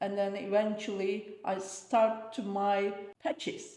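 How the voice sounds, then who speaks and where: Her voice has a dark, mellow tone as the woman speaks at a very slow pace in audible room echo. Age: 60s. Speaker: interviewee, host's mother. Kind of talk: casual interview chat. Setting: sitting on a sofa.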